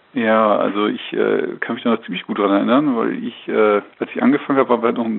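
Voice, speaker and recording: Clear background noise fills the recording. Through it, a man talks rather fast. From northern Germany, North Frisia near the Danish border. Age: 40s. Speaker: agricultural magazine editor. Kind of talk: interview. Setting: phone call. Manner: hesitant with many fillers.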